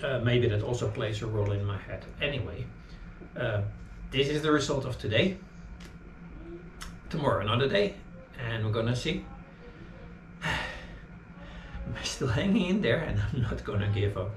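Noticeable background noise sits under a man who speaks at a moderate pace with long, frequent pauses. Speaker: fitness vlogger. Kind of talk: casual vlog chat. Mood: calm, reflective. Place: home room. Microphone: camera far.

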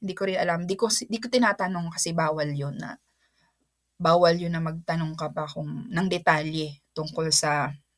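The recording is very clean, with a silent background. A woman with a fairly low pitch speaks at a moderate pace. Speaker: teacher and vlogger. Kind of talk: casual vlog talk. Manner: halting, with fillers and repeats.

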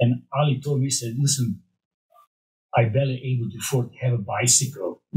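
A man with a Hungarian accent speaks at a fairly quick pace, somewhat breathy. His intonation stays fairly even over a quiet background. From Romania. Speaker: former bodybuilding champion and supplement developer. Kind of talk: casual interview. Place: studio. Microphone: studio mic.

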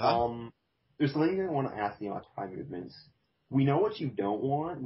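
A man's somewhat breathy voice moves at a fairly quick pace, with ordinary pitch variation. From Canada. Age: 20s. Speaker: podcast host. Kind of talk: casual chat.

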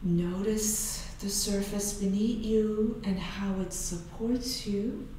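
Very slowly and with hardly any pauses, a woman speaks in a gentle, soothing tone with monotone, flat intonation. Strong room echo and light background noise surround her voice. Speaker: yoga instructor. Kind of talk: guided meditation. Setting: online video class. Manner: slow, soothing, calm; gentle, unhurried cueing with pauses. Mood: calm, soothing. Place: studio.

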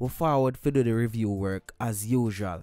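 On a very clean recording with a silent background, a man with a Jamaican accent speaks at medium pitch with lively intonation. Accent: Jamaican Patois. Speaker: music reviewer, YouTuber. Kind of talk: music review vlog. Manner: animated.

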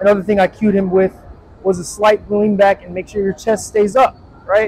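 A man with a high voice talks at a moderate pace. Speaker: personal trainer. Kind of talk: tutorial. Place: gym. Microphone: lapel.

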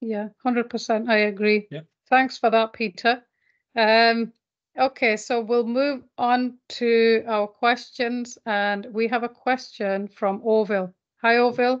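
Speaking very slowly, a woman holds a monotone, flat intonation at a fairly high pitch. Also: quiet background. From UK. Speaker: webinar host. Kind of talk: virtual classroom Q&A. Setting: video call. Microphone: video call.

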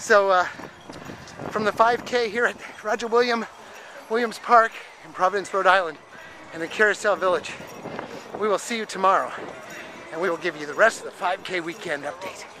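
A man talks at a fairly quick pace in a raised, projected voice, the sound dry with no echo and noticeable background noise. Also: ordinary pitch variation. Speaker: runner vlogger. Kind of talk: casual vlog chat. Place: open country. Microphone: phone near.

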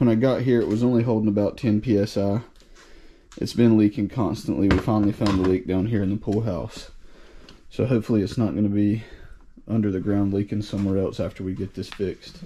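Over light background noise, a man with a dark, mellow tone and fairly low pitch talks at a very fast pace with fairly even intonation. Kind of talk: casual work narration. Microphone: phone near.

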